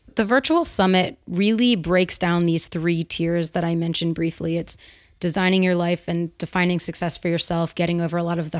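A woman with a normal speaking voice, fairly low pitch and fairly even intonation at a moderate pace, in a very clean recording with a silent background. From US Northeast, outside Philadelphia. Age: 30s. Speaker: entrepreneur and writer. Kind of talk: interview.

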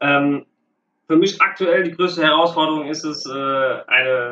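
A man talks at a fairly slow pace with fairly high pitch and fairly even intonation. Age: 30s. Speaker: youth football coach. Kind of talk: interview. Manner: halting, many filler sounds.

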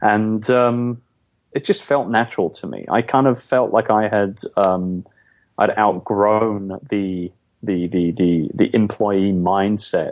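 A man talks at a very slow pace in an English accent. His pitch is fairly low and his intonation fairly even. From London, England. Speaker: entrepreneur, outsourcing business owner. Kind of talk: interview.

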